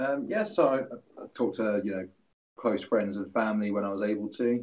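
Very fast pace from a man at medium pitch, with fairly even intonation. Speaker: streamer and poet.

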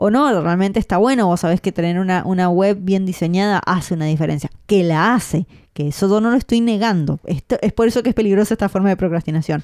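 In a Rioplatense accent, a woman speaks at a medium pitch and a very fast pace with hardly any pauses and very even loudness, in a very clean recording with a silent background and a dry, close sound with no echo. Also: ordinary pitch variation. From Argentina. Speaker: podcast host, freelancer. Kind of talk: casual chat.

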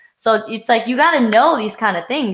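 With an American accent, a woman speaks at a moderate pace in a fairly high pitch and a bright, sharp tone. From Pennsylvania, US. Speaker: podcast co-host. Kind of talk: casual chat.

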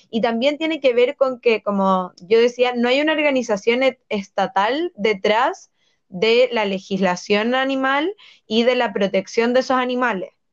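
Her voice high, a woman speaks at a fairly slow pace with ordinary pitch variation. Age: 20s. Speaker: political candidate and law student. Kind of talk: interview.

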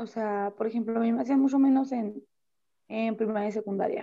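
Her intonation lively, a woman speaks in a fairly high voice with a dark, mellow tone. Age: 20s. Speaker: young mother, nail technician and gym owner. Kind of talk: casual chat.

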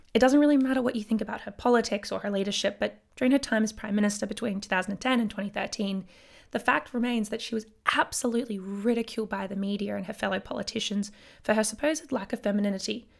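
A woman with an Australian accent talks at a very fast pace, her fairly high pitch held in fairly even intonation. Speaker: podcast host, historian. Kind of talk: solo educational podcast. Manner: casual, lots of filler words.

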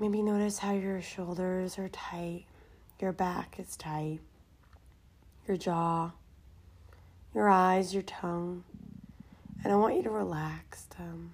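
The speaker goes at a very slow pace in a soothing tone, leaving long, frequent pauses. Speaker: meditation guide and podcast host. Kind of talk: guided meditation. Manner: slow, soothing.

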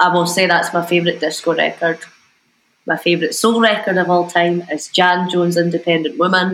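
Talking at a fairly quick pace, a woman with a Scottish accent keeps a fairly low pitch, a monotone, flat intonation and very even loudness. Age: 20s. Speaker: DJ and music producer. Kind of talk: casual chat.

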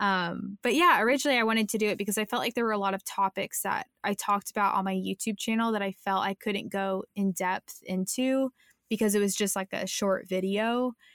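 This woman has a normal speaking voice at medium pitch, with fairly even intonation at a fairly quick pace and hardly any pauses. The sound is dry and close, with no echo. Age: 20s. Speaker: content creator and podcaster. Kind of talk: casual interview chat.

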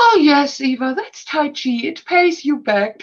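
Very wide pitch swings run through a woman's fairly slow speech. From Austria. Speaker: actress and talent agent. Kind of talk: casual interview. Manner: animated.

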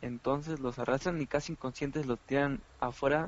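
Talking at a fairly quick pace, a man has an ordinary speaking voice, a fairly high pitch and ordinary pitch variation. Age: 20s. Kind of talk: casual chat.

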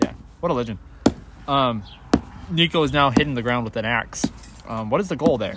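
Over noticeable background noise, a man with a medium pitch and ordinary pitch variation talks at a fairly quick pace broken by long, frequent pauses. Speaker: podcast host. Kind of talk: casual interview chat.

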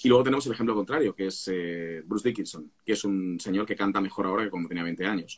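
Talking at a very fast pace, a man barely pauses at all. His pitch is fairly low with ordinary variation. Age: 40s. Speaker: singer and vocal coach. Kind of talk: casual chat.

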